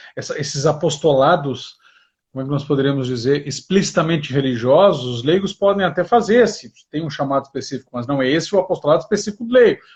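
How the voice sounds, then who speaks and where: Lively in intonation and somewhat breathy, a man talks very fast at a fairly high pitch. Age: 40s. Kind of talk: livestream interview.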